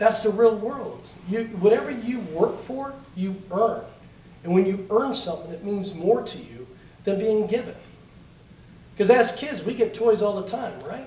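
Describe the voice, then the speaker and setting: A man with a high voice talks in an animated tone at a moderate pace, with ordinary pitch variation, big swings in loudness, and long, frequent pauses. Noticeable background noise and audible room echo surround him. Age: 50s. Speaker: political candidate. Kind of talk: political forum.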